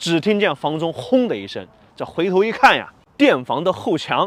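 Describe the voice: Lively intonation over plain reading aloud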